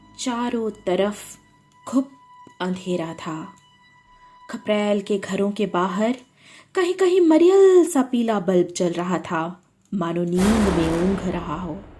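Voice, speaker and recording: A woman's medium-pitched voice with ordinary pitch variation and long, frequent pauses, with music in the background. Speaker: storyteller and writer. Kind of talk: horror story narration.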